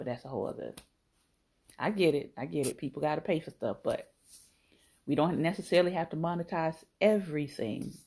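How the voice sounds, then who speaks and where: Very fast speech with vocal fry and ordinary pitch variation is broken by long, frequent pauses. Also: woman, very deep, low pitch for a woman. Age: 40s. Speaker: podcast host. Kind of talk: casual solo talk show monologue.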